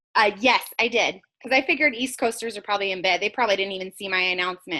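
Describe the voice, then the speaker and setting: A woman's medium-pitched voice, animated and bright with a sharp tone, ordinary pitch variation, at a very fast pace. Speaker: network marketing team leader. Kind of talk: group video call meeting.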